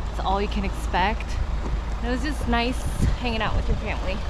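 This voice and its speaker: Here a woman is talking. There is noticeable background noise and a dry sound with no echo. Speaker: vlogger's wife. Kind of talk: casual restaurant review. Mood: relaxed, mildly wry. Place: street. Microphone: phone near.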